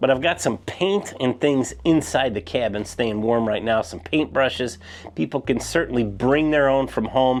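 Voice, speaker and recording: In an American accent, a man with an unremarkable speaking voice talks at a moderate pace, with a medium pitch and lively intonation. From Chicago area, US Midwest. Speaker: cabin builder and rental owner, video creator. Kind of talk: casual video tour. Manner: relaxed, conversational with fillers.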